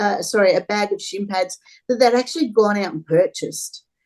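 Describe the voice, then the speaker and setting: With an Australian accent, a woman talks in a fairly high pitch. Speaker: charity volunteer, football fan. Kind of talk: casual interview chat.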